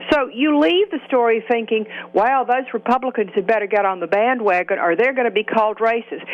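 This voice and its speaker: A woman's fairly high-pitched voice in a Southern US accent, fairly quick in pace, with ordinary pitch variation and very even loudness. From US Deep South. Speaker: political commentator. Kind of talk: political talk radio discussion.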